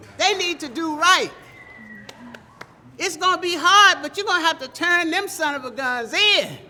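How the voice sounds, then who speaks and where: Noticeable background noise accompanies a voice talking at a fairly slow pace. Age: 80s+. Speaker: parent of a police torture survivor. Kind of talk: protest speech. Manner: impassioned, call-and-response.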